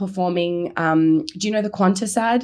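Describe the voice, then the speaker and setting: The recording is very clean and the background silent. In it, a woman talks with an Australian accent. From Melbourne, Australia. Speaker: comedian. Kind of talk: casual chat. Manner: loud; animated.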